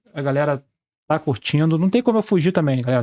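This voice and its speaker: A man with a Brazilian accent, fairly high pitch and very fast pace, in a dry, close sound with no echo. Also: very clean recording, silent background. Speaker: sports betting trader and youtuber. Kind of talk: casual screen-share tutorial.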